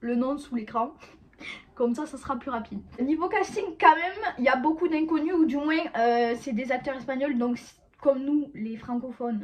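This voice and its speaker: In a southern French accent, the speaker talks at a fairly slow pace with ordinary pitch variation. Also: woman. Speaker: YouTuber, series reviewer. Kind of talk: casual video review to camera. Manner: halting, many hesitations.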